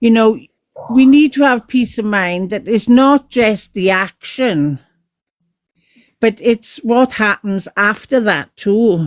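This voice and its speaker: At a very slow pace, a woman with a fairly high pitch speaks with lively intonation in a dry, close sound with no echo. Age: 60s. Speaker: caller in live stream. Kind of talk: casual chat.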